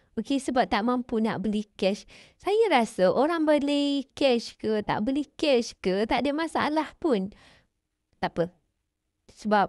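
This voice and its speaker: Over a quiet background, a woman speaks in a high pitch with lively intonation. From Malaysia, Kedah. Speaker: vlogger. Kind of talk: casual talk to camera responding to comments. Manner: conversational, frequent fillers.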